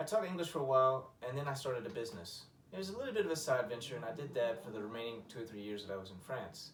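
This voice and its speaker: A man at a medium pitch with an American accent, going at a very fast pace. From Arkansas, USA. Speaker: English teacher; war veteran. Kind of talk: teacher self-introduction video. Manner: laid-back, conversational.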